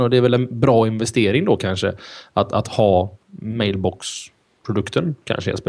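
Quiet surroundings behind a male speaker. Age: 30s. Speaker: tech podcast host; podcast host. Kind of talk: casual chat. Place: home room. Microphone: studio mic.

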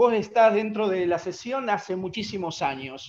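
With noticeable background noise behind him, a man speaks at a high pitch. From Argentina. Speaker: musician, audience member. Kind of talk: Q&A question on video call.

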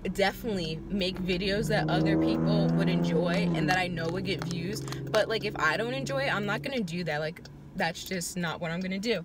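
A woman talks at a fairly quick pace over loud background noise, in a dry sound with no echo. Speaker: vlogger. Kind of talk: casual vlog chat. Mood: reflective, a bit frustrated. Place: car. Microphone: phone near.

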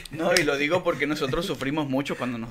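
Against noticeable background noise, a man talks very fast in a fairly high voice. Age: 30s. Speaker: podcast co-host and musician; podcast co-host. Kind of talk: casual chat. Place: studio. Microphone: studio mic.

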